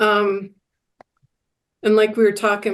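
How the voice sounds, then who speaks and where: A woman speaks very slowly at a medium pitch. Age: 60s. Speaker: recovery podcast guest. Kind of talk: casual chat. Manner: halting.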